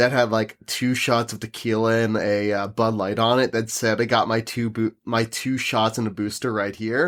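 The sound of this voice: Recorded very cleanly against a silent background, a man speaks at medium pitch. His tone is fairly bright and his pace moderate.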